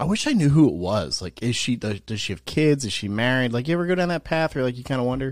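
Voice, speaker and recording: Speaking very fast with hardly any pauses, a man with an American accent uses a medium pitch, lively intonation and an animated tone. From New Jersey. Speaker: podcast co-host and DJ. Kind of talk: casual chat, banter. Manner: joking, animated.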